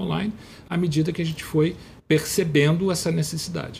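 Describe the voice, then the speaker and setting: Very fast delivery comes in a somewhat breathy voice. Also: man. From Teresópolis, Rio de Janeiro state. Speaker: journalist turned government official. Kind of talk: interview. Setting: studio. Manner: halting, many repetitions.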